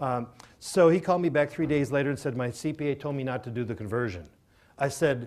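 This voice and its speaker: A man's ordinary speaking voice with an American accent, fairly high in pitch, with ordinary pitch variation and a fairly quick pace on a very clean recording with a silent background. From Minnesota. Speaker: self-directed IRA specialist speaker. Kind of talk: seminar presentation with Q&A. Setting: live audience at a seminar.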